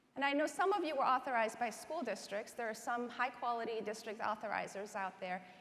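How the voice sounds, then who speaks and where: A woman with an American accent, fairly high-pitched and very fast, with hardly any pauses, over noticeable background noise and audible room echo. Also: ordinary pitch variation. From Iran, then rural Southwest Virginia from age 14. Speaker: education advocacy organization president. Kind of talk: keynote speech. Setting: conference stage with audience.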